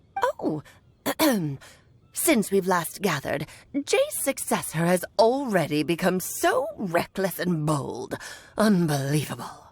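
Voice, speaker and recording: A woman's put-on character voice at medium pitch, fairly slow, with long, frequent pauses. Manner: haughty, scolding.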